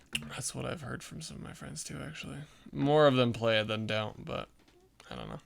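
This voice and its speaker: Pitched in the medium range, a man talks at a fairly quick pace with very wide pitch swings and big swings in loudness. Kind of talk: casual chat. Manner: frequent fillers, like and um; quiet.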